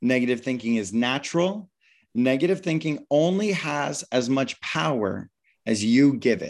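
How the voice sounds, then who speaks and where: Over a quiet background, a man with an American accent speaks in an ordinary speaking voice. His pitch is medium and his intonation lively. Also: moderate pace. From United States. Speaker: meditation teacher and author. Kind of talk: interview; guided meditation.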